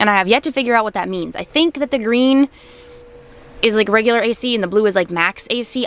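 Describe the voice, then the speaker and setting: A woman with an American accent talks at a very fast pace against noticeable background noise. Her voice is fairly high, with ordinary pitch variation. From Maine, USA. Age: 20s. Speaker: truck driver. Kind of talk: casual talk to camera.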